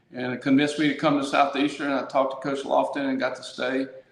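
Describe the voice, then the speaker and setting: With audible room echo and noticeable background noise, a man speaks in a fairly high pitch. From Louisiana (Baton Rouge). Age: 60s. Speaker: local politician. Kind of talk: interview.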